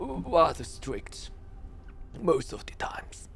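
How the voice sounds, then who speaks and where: A man whispers very slowly in a put-on character voice, with clear background noise. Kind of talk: archaic, formal speech. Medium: actual play. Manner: halting, hesitant, full of pauses.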